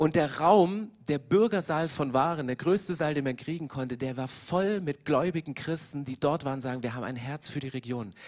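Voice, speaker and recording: An ordinary speaking voice moves at a moderate pace with ordinary pitch variation and hardly any pauses on a very clean recording with a silent background. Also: man, fairly high pitch for a man. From eastern Germany. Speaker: pastor. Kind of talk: sermon. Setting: church.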